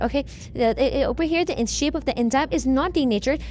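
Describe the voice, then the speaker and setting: A woman's high voice at a very fast pace, full of lively intonation. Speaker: online revision tutor. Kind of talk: tutorial. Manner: repetitive fillers (okay).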